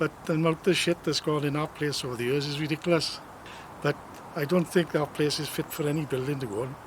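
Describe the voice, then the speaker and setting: A man with a South Welsh accent talks at a very fast pace in a fairly high pitch, his intonation fairly even, over noticeable background noise. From South Wales, Glynneath. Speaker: local resident. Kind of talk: testimony.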